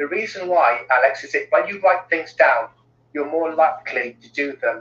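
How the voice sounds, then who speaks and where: A man speaks with a Cardiff accent. His pace is moderate. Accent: Welsh (Cardiff). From Cardiff, South Wales. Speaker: well-being consultant. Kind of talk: interview.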